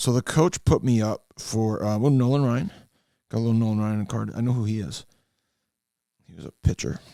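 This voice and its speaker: A man speaks in a Western New York accent at medium pitch, with ordinary pitch variation and long, frequent pauses. His tone is dark and mellow, and the sound is dry and close with no echo. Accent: Western New York (Inland North) American. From Western New York, US. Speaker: trading card hobbyist. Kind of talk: casual card-opening monologue. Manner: hesitant, many fillers.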